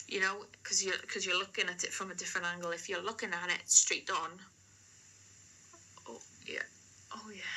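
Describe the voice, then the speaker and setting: Her loudness swings widely as a woman at medium pitch speaks in a flat monotone at a moderate pace, with long, frequent pauses. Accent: South Wales. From Wales, the Valleys. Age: 20s. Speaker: amateur painter, vlogger. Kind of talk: casual chat to camera. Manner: hesitant, many fillers.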